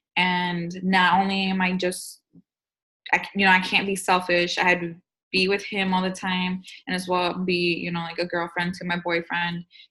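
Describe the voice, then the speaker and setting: At a moderate pace, a woman speaks with a bright, sharp tone, medium pitch, and monotone, flat intonation. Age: 20s. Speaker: young stay-at-home mother. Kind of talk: interview.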